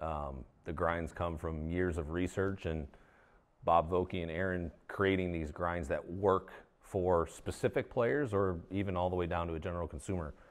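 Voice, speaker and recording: This man's pitch is very deep and low, with ordinary pitch variation. He speaks at a moderate pace. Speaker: golf equipment designer. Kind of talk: interview. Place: meeting room.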